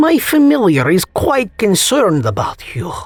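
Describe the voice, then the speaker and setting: A woman speaks in a put-on character voice at a moderate pace. Her medium pitch swings very widely. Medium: read story. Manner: mocking, condescending.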